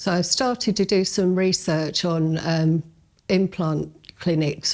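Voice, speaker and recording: Speaking at a very slow pace, a woman holds a fairly low pitch with very even loudness and fairly even intonation. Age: 60s. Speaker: dental patient. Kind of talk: testimony. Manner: hesitant, with fillers.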